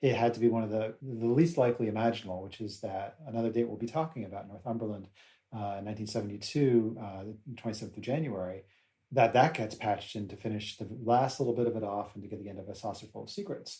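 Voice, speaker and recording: A man with an American accent talks at a very fast pace, with big swings in loudness. His voice is medium in pitch, somewhat breathy, with a dark, mellow tone. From United States. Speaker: podcast co-host. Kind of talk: casual chat.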